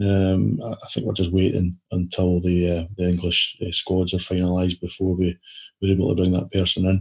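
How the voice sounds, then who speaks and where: Somewhat breathy, a man with a Scottish accent speaks at a moderate pace in a very deep, low pitch. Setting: video call.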